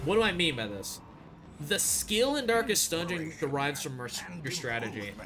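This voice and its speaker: With very wide pitch swings, this animated voice comes through with audible room echo. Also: man, fairly high pitch for a man. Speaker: streamer. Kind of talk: live gaming stream commentary. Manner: fast.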